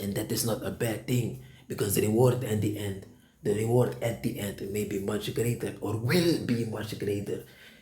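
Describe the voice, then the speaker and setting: Vocal fry marks a dark, mellow tone with lively intonation at a moderate pace, heard with audible room echo. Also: man, fairly low pitch for a man. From Suriname. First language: Sranan Tongo or Dutch. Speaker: preacher. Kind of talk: sermon. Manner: halting.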